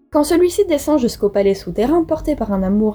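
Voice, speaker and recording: A high-pitched woman's voice with very wide pitch swings, over noticeable background noise. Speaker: mythology podcast host. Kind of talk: casual storytelling narration.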